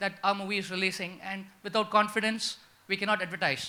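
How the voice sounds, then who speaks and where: Projecting in a raised voice, a man talks very fast with a high pitch and a bright, sharp tone. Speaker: independent filmmaker, audience member. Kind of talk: audience question at conference panel.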